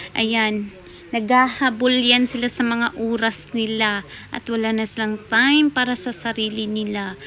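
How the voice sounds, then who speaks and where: This woman's voice sits fairly high. She talks very slowly. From Philippines. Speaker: vlogger. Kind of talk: casual vlog talk.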